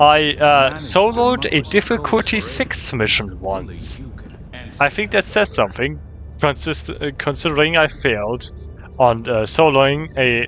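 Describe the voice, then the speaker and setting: With music playing in the background, a man in a German accent swings his pitch very widely. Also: fairly high pitch for a man, fairly slow pace. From Germany. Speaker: gaming YouTuber. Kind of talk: gameplay commentary. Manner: halting.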